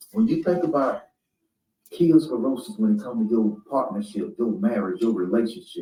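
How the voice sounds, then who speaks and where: A man speaks at a medium pitch in a dark, mellow tone, with very wide pitch swings. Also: moderate pace. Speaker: spiritual speaker. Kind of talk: motivational talk. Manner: animated.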